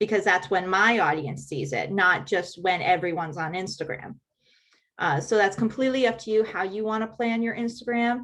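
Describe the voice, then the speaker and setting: A woman's plain, everyday voice at a medium pitch, with lively intonation and a moderate pace. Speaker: helpful hints presenter on social media scheduling. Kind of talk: tutorial.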